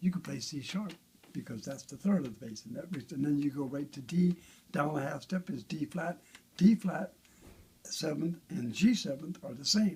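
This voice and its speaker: A man with a fairly high pitch, lively intonation, and big swings in loudness. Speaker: bass guitar builder. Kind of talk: casual chat. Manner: fast.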